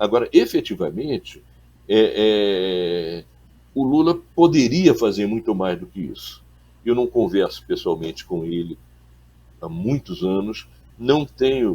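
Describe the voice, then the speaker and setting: The speaker talks at a very slow pace, with long, frequent pauses and very wide pitch swings. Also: man, medium pitch for a man. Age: 70s. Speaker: journalist and former political activist. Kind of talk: interview. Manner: halting, repeats words.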